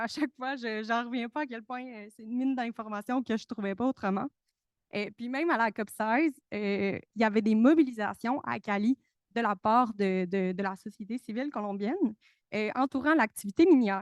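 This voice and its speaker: A woman with a fairly high voice speaks at a moderate pace with ordinary pitch variation, her sound dry and close with no echo against a quiet background. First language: Spanish (speaking French). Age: young. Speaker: researcher, conference participant. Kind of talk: panel talk. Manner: hesitant, many fillers and repetitions.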